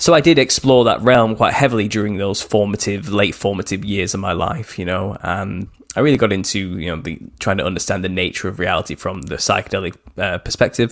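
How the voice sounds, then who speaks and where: A man's fairly low voice at a fairly quick pace, with ordinary pitch variation and hardly any pauses. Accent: northern English. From northwest England. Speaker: author. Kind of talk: interview. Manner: halting.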